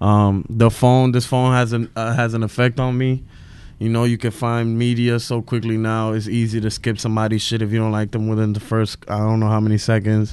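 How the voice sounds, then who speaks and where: Speech comes in a New York accent at a fairly quick pace. The intonation is monotone and flat. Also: man, medium pitch for a man. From Williamsburg, Brooklyn. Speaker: stand-up comedian. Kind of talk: casual chat.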